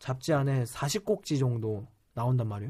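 A man talks at a moderate pace in a somewhat breathy voice. His pitch sits fairly high. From South Korea. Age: 20s. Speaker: startup CEO. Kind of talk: interview.

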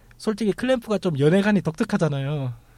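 The voice has a dark, mellow tone and is somewhat breathy. It moves at a fairly quick pace with lively intonation. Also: man. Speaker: podcast host. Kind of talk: casual chat. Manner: animated.

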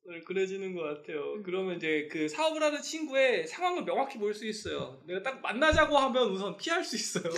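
A man speaks at a fairly quick pace with a high pitch and very wide pitch swings, hardly pausing. Noticeable background noise runs underneath. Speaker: fashion brand owner, podcast host. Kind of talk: casual chat. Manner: talkative, fast.

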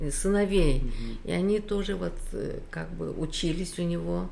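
A woman's dark, mellow voice at a medium pitch, with audible room echo. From Uzbekistan. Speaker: mother and grandmother. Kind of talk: interview.

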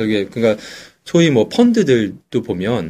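Very wide pitch swings from a man, on a very clean recording with a silent background. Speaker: stock investing podcaster. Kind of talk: casual chat.

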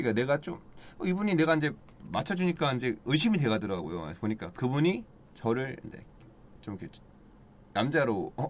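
At a medium pitch and a fairly quick pace, a man speaks with very wide pitch swings, big swings in loudness, and long, frequent pauses. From Daejeon, South Korea. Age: 30s. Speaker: actor. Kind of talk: casual chat.

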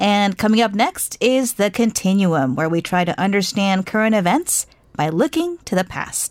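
This is an ordinary speaking voice in an American accent, with lively intonation. The pace is moderate and the sound is dry and close, with no echo. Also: woman, medium pitch for a woman. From United States. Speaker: radio host. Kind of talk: scripted news introduction; radio interview. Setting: studio.

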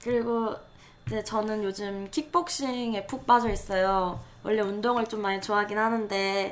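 A woman with a plain, everyday voice, fairly high in pitch, fairly slow, and with fairly even intonation. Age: 20s. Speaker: podcast co-host, creative writing student. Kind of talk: casual chat.

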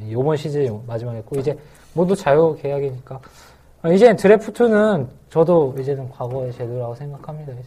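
A man speaks fairly quickly in a fairly high, somewhat breathy voice with a dark, mellow tone, lively intonation and big swings in loudness. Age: 20s. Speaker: podcast host. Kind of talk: casual chat. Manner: smooth.

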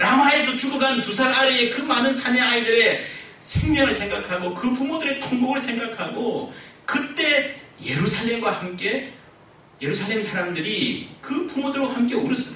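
A man uses a raised, projected voice with an extremely high pitch and ordinary pitch variation. He talks at a moderate pace over noticeable background noise. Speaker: pastor. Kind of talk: sermon. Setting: church. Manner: earnest, impassioned, moralizing; emphatic, repeating words for effect.

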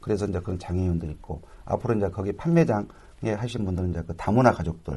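A man's very deep, low voice, somewhat breathy and dark and mellow in tone, at a very fast pace with ordinary pitch variation over a quiet background. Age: 40s. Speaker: social enterprise association head. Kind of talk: radio interview.

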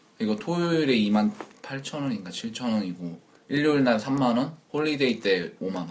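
A man's very slow voice with very wide pitch swings, over noticeable background noise. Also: medium pitch for a man. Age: 20s. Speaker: working holiday maker. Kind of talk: casual chat.

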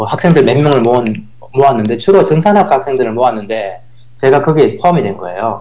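A man talks at a fairly quick pace. His medium-pitched voice swings very widely in pitch. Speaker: professor and former software developer. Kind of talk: casual interview chat.

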